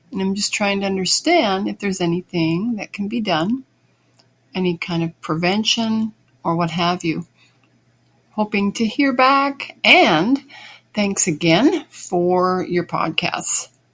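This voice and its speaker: Using a normal speaking voice, a woman of medium pitch talks fairly slowly with lively intonation. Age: 60s. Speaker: listener asking a question. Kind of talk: recorded voice message.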